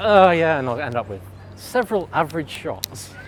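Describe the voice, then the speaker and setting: Through noticeable background noise, a man with a fairly high pitch speaks with very wide pitch swings. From Wales. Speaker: film lab worker and photographer. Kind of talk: casual chat.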